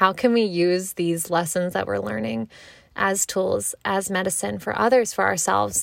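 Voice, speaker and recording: Speaking at a moderate pace with a Mid-Atlantic accent. The pitch swings very widely. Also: woman, fairly low pitch for a woman. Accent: American, Mid-Atlantic. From US, Maryland. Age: 20s. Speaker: podcast host. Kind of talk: casual monologue. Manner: animated.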